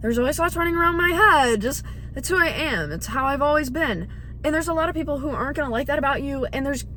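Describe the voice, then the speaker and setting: A woman speaks very fast in a raised, projected voice with a high pitch, ordinary pitch variation and an animated tone. Noticeable background noise and audible room echo are present. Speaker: vlogger. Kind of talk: casual monologue vlog. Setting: night, dark room, self-recorded. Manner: loud.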